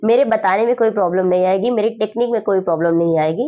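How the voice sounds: Using ordinary pitch variation, a woman talks fast at a medium pitch.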